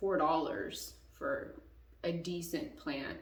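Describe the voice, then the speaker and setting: A woman's voice in a room with audible echo and noticeable background noise. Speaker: YouTuber, plant enthusiast. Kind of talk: casual tutorial. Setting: home bathroom. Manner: casual, rambling.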